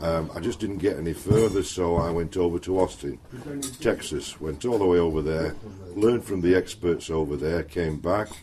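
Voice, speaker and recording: A man speaks with a very deep, low pitch. His pitch varies in an ordinary way at a moderate pace. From Yorkshire, northern England. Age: 60s. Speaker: knife and axe throwing instructor. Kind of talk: casual chat.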